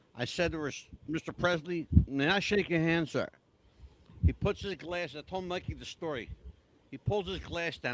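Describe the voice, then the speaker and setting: A man speaks at a moderate pace. His voice sits high in pitch. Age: 60s. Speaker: podcast host, former radio reporter. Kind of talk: casual interview chat. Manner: animated storytelling.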